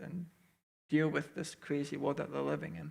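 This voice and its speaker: This man's voice has vocal fry. His pitch sits fairly high. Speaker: youth pastor candidate. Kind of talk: Q&A session. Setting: church with small audience, streamed online. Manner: calm, clear.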